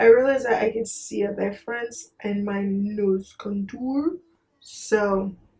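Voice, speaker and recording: In a fairly high voice with a dark, mellow tone, a woman speaks somewhat breathily at a fairly slow pace. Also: ordinary pitch variation. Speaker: beauty vlogger. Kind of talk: makeup tutorial chat. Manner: soft-spoken, low energy.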